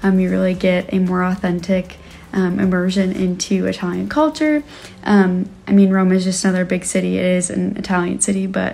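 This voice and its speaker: The woman speaks fairly quickly. Her pitch moves up and down in a normal way. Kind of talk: casual vlog chat. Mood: cheerful, smiling. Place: home room. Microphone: phone near.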